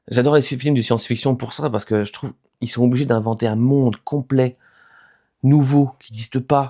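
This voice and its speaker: Recorded with a dry, close sound and no echo, a man at medium pitch talks at a moderate pace with fairly even intonation and big swings in loudness. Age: 30s. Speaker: YouTuber sharing mental health experience. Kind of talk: casual vlog monologue. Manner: hesitant, many fillers.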